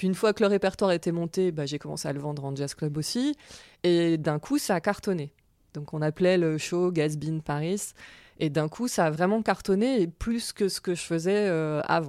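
Dark and mellow in tone, a woman's fairly low voice moves at a moderate pace with ordinary pitch variation in a very clean recording with a silent background. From France. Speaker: jazz singer. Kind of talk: interview.

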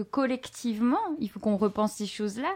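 Lively intonation marks this woman's ordinary speaking voice. Her pitch is fairly high, and her pace is moderate. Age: 30s. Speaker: podcast host and bookseller. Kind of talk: live bookshop interview.

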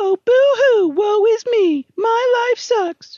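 In a put-on character voice, the speaker whines at an extremely high pitch and a very slow pace. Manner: teasing, mocking, whiny.

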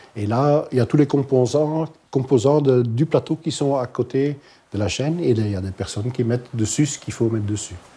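A man with a Dutch accent, medium in pitch with ordinary variation, somewhat breathy and dark, mellow in tone, at a fairly quick pace. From Flemish Belgium, Halle. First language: Dutch (speaking French). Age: 50s. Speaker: hospital kitchen manager. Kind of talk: interview testimony. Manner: halting.

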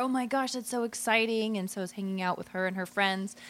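A woman uses a normal speaking voice, her medium pitch carried with fairly even intonation. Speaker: co-host. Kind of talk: casual comedic chat.

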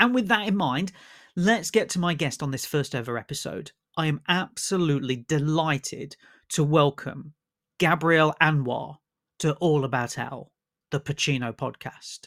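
Recorded very cleanly against a silent background, with a dry, close sound and no echo, a man speaks at a fairly high pitch and moderate pace with lively intonation. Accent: British. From UK. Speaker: film critic, broadcaster and podcast host. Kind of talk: scripted intro then interview.

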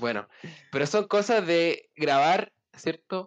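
A man's very slow speech with lively intonation, in a dry, close sound with no echo. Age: 20s. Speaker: podcast co-host, university student. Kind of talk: casual chat.

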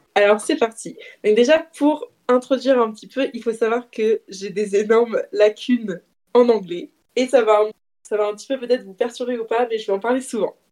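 Using a plain, everyday voice, a woman speaks at a moderate pace with a fairly high pitch, ordinary pitch variation and big swings in loudness. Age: 20s. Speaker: self-employed friend of the host, guest. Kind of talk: casual storytelling game.

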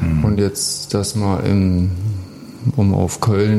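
Behind the fairly even intonation, background noise is noticeable. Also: man. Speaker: professional ice hockey player. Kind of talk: casual chat. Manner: halting, many fillers.

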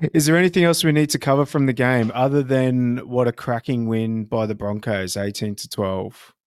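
A man with an Australian accent at a moderate pace, hardly any pauses, in a very clean recording with a silent background. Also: medium pitch for a man, ordinary pitch variation. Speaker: rugby league podcast co-host. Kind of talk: casual chat.

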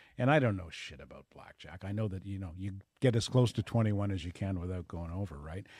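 A somewhat breathy voice at a very fast pace, with ordinary pitch variation and big swings in loudness, in a very clean recording with a silent background. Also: man, fairly low pitch for a man. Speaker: radio host. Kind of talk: casual chat. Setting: studio.

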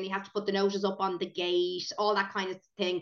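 A woman with an Irish accent and fairly even intonation. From Ireland, County Meath. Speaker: preschool owner and podcast co-host. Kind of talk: casual chat.

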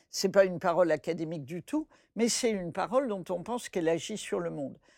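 With an ordinary speaking voice, a woman talks at a fairly quick pace in a fairly low pitch, her intonation lively and the sound dry and close with no echo. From French West Africa (born Bamako, Mali). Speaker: folktale scholar. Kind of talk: interview conversation.

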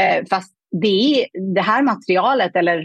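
A woman's unremarkable speaking voice at a medium pitch, with ordinary pitch variation, a moderate pace and a dry, close sound with no echo. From Afghanistan. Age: 30s. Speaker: money mindset coach. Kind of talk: interview conversation.

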